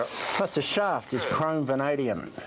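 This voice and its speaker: Noticeable background noise behind a man speaking. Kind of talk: infomercial product demonstration.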